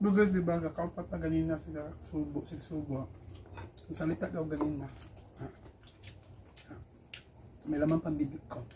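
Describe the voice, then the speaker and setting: At a moderate pace, a woman with a very deep, low pitch speaks with ordinary pitch variation, big swings in loudness and long, frequent pauses. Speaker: vlogger. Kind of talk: casual chat.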